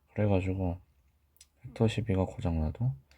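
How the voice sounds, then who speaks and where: On a very clean recording with a silent background, the voice is somewhat breathy. It runs at a moderate pace with ordinary pitch variation. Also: man. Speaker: medical educator. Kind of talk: lecture.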